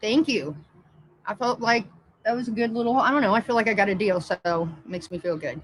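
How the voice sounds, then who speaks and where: A woman with an American accent talks at a fairly quick pace in a fairly high pitch with lively intonation over noticeable background noise. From Indiana, US Midwest. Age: 30s. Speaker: livestreamer. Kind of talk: casual live-stream chat. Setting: live stream.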